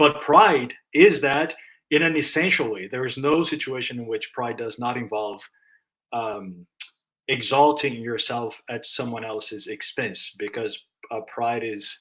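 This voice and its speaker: A man speaks at medium pitch with a non-native accent and a bright, sharp tone. His pace is fairly slow, with ordinary pitch variation and big swings in loudness. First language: not English. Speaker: book discussion guest. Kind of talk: casual discussion. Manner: halting, many fillers and restarts.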